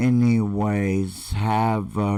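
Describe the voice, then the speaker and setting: With a dark, mellow tone, a man speaks at a very slow pace with fairly even intonation against a quiet background. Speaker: online marketer; vlogger telling his life story. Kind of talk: live stream talk. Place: home room. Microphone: webcam.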